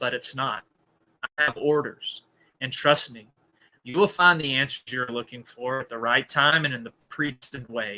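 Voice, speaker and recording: A man puts on a gravelly character voice at medium pitch. He speaks at a moderate pace. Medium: read story. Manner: slow, cold and ominous.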